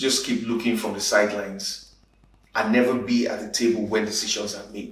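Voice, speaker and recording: This man's pitch is fairly low, and his intonation stays monotone and flat. He speaks at a fairly quick pace. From Nigeria, Igbo. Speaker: spoken word poet, advertising creative director, conference speaker. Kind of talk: conference talk, conversational speech. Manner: conversational, punchy.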